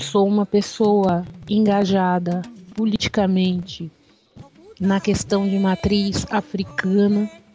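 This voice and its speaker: A woman talks at a very slow pace, leaving long, frequent pauses. Her intonation is fairly even, and music plays in the background. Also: medium pitch for a woman, very even loudness. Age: 40s. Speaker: candomblé initiate and religious activist. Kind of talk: interview. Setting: radio interview.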